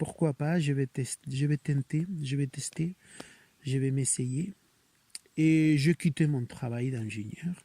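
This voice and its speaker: A man with a fairly high pitch and a dark, mellow, somewhat breathy tone talks very slowly with ordinary pitch variation, in a dry, close sound with no echo. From Spain, Barcelona region (Catalonia). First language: Spanish or Catalan (speaking French). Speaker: clown. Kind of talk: interview. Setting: outdoors in a forest. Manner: hesitant, with fillers.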